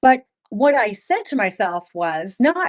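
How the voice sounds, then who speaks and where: This is a woman speaking. Her tone is animated. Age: 60s. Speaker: author and former music publishing executive. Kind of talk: podcast interview.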